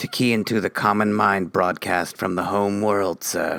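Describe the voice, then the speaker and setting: A man speaks in a put-on character voice with a fairly low pitch. His delivery is flat and monotone at a moderate pace. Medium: audio drama. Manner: nervous, deferential.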